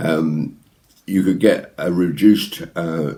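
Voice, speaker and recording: A man's very deep, low voice with a dark, mellow tone, vocal fry and ordinary pitch variation. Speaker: ventriloquist. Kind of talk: anecdote told to camera. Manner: casual, chatty.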